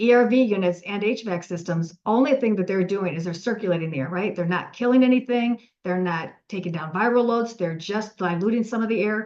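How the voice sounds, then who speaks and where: A woman's pitch varies in an ordinary way as she talks fairly quickly. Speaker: UV air disinfection company owner, webinar presenter. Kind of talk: webinar presentation. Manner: fast.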